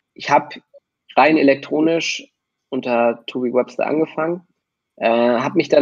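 His pitch sits fairly high for a man, with fairly even intonation. The man keeps a moderate pace. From Hamburg, northern Germany. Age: 20s. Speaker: music producer and DJ. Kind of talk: casual chat.

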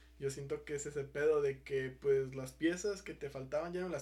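This man speaks at a moderate pace with fairly even intonation, a somewhat breathy quality and a dark, mellow tone. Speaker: podcast host. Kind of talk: casual chat.

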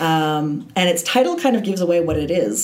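A woman with a Canadian accent speaks at a moderate pace, with audible room echo and noticeable background noise. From Canada, Toronto. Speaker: film studies lecturer. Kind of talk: casual interview.

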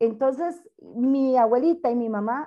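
A woman's high-pitched voice. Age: 40s. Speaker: university administrative secretary and council candidate. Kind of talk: interview.

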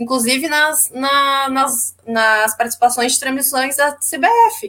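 Her tone bright and sharp, a woman talks with ordinary variation in pitch. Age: 20s. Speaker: football commentator. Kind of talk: casual football panel chat.

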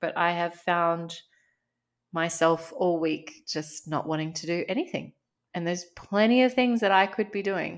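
In a very clean recording with a silent background, a woman with an Australian accent speaks at a moderate pace in a fairly low pitch. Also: ordinary pitch variation. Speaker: podcast co-host, life coach. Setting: home recording. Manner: conversational, candid.

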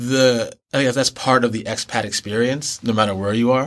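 Intonation stays fairly even, in an American accent. Background silence marks a very clean recording. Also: man. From New York City and Boston area. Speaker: expat filmmaker. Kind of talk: interview conversation.

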